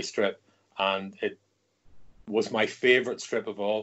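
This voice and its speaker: A man speaks in a Northern Irish accent. His pace is very slow. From Northern Ireland. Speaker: comics editor and writer. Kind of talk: interview.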